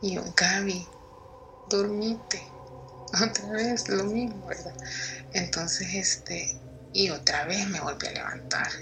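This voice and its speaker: A woman's medium-pitched voice in a Salvadoran accent, very slow, with long, frequent pauses, ordinary pitch variation, audible room echo and noticeable background noise. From El Salvador, San Salvador. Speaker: listener sharing paranormal story. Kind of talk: testimony.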